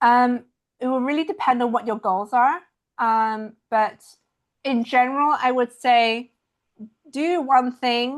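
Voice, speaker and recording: A high-pitched woman at a very slow pace, with long, frequent pauses and ordinary pitch variation. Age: young. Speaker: watercolor artist and online art educator. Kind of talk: casual Q&A talk at an online members meeting. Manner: halting, with many fillers.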